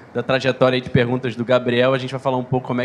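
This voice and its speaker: Amid noticeable background noise, a man rattles along at a very fast pace, medium in pitch and monotone, flat in intonation. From Rio de Janeiro, Brazil. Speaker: open innovation manager. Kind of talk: conference panel talk.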